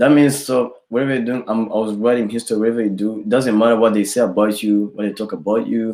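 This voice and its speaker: This voice has a dark, mellow tone and a Rwandan accent. Its intonation is fairly even. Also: man. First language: Kinyarwanda. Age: 20s. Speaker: rapper. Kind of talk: interview. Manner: halting.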